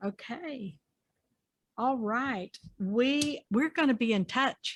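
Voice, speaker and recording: A warm tone with lively intonation at a very slow pace, dry and close with no echo, in a very clean recording with a silent background. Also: woman, high pitch for a woman. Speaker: interviewer. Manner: warm, folksy.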